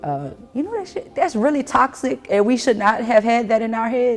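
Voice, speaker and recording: Music plays behind a woman who talks fairly quickly in a relaxed tone with a New Orleans accent. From New Orleans, Louisiana (Lower Ninth Ward). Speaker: artist. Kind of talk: casual artist talk about her work. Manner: relaxed, conversational with many fillers.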